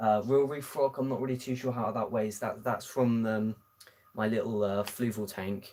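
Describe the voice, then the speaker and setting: Speaking with a British accent, a man has a dark, mellow tone and a fairly low pitch. His pace is moderate. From southern England. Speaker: aquarium hobbyist streamer. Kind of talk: live stream Q&A. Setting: home live stream. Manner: hesitant, many fillers.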